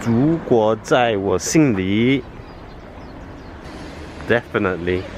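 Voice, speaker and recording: Over noticeable background noise, a man speaks at a very slow pace with long, frequent pauses, a medium pitch and ordinary pitch variation. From England. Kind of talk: casual vlog talk to camera.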